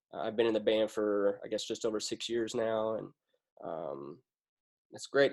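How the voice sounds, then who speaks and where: The recording is very clean, with a silent background. A man speaks at a moderate pace and a medium pitch, with fairly even intonation. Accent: Kentucky. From Western Kentucky, US. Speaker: military band euphonium player and teacher. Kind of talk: casual chat.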